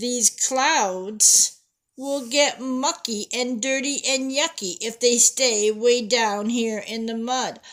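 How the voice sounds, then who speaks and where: Putting on a character voice, a woman speaks very slowly in a high, raised, projected voice. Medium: read story. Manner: sing-song, fussy.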